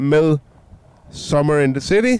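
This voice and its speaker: The pace is very slow. A man delivers the words with ordinary pitch variation. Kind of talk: casual chat. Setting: outdoors at a harbour.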